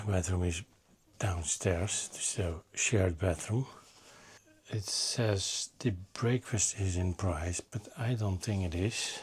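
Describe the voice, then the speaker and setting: Very slow and quiet, a man speaks in a very deep, low, somewhat breathy voice. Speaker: motorcycle travel vlogger. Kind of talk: travel vlog narration. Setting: guest house room.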